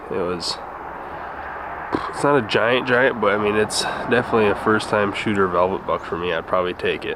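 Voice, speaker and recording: A man with an American accent at a fairly quick pace, ordinary pitch variation, and noticeable background noise. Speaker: hunting vlogger. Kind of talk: casual vlog narration. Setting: outdoors and in a truck.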